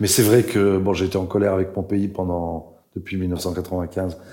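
Audible room echo surrounds a man's very deep, low voice. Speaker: writer and translator. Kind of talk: public talk at a literary event. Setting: stage with audience.

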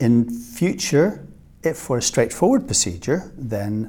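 A man with a medium pitch speaks at a fairly slow pace in a dark, mellow, somewhat breathy tone. His pitch swings very widely. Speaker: surgeon. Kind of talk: interview.

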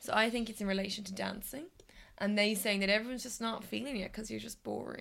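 Vocal fry marks this woman's very fast speech. Her loudness swings widely while her intonation stays fairly even. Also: medium pitch for a woman. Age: 20s. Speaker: music podcast co-host. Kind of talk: casual chat.

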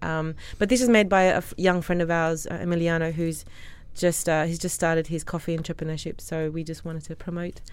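This woman has an Australian accent and a fairly low pitch. Her intonation is fairly even and her pace is fairly quick. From Australia, Sydney. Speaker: restaurant co-founder. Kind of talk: interview.

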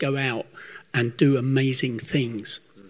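Somewhat breathy, a man talks at a fairly slow pace and a fairly high pitch. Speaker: church member leading prayer. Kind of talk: spoken prayer. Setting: church service.

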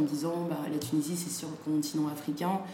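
In a room with audible echo and noticeable background noise, a woman speaks at a very deep, low pitch with fairly even intonation. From France, Saint-Étienne, with Senegalese family. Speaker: fashion designer and entrepreneur. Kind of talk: interview.

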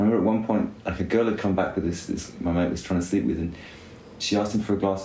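A man's fairly low, dark, mellow, somewhat breathy voice at a very fast pace, with fairly even intonation and audible room echo. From UK. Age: 30s. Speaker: cycling team director. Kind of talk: casual chat. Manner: quiet and considered.

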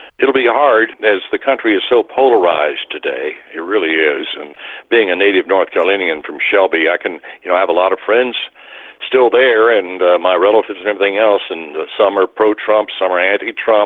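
The speech moves at a fairly quick pace with ordinary pitch variation, and there is noticeable background noise. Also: man, fairly low pitch for a man. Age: 70s. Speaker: retired radio news anchor. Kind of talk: casual interview.

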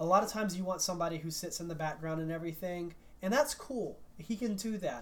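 With an American accent, the speaker goes at a very fast pace while music plays in the background. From US South. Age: 40s. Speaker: sports podcast co-host. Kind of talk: casual chat.

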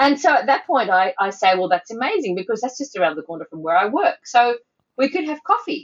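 In an Australian accent, a woman speaks at a fairly quick pace. Her high voice swings very widely in pitch. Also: big swings in loudness. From Sydney, Australia (North Shore). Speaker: editorial cartoonist. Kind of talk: casual chat.

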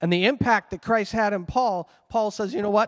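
A man speaks with a Canadian accent in a high pitch, with ordinary pitch variation. The sound is dry and close with no echo, over a quiet background. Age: 50s. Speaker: pastor. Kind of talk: sermon. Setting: church.

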